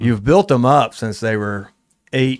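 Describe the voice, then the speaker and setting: On a very clean recording with a silent background, a man with an ordinary speaking voice talks at a medium pitch and moderate pace, with ordinary pitch variation. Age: 40s. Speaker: gym owner and strength coach. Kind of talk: casual chat.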